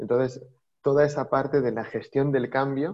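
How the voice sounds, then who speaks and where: Using a normal speaking voice, a man talks at a medium pitch with fairly even intonation. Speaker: data executive. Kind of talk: interview.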